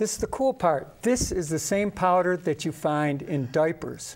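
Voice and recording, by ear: At a fairly slow pace, a man speaks with fairly high pitch and lively intonation.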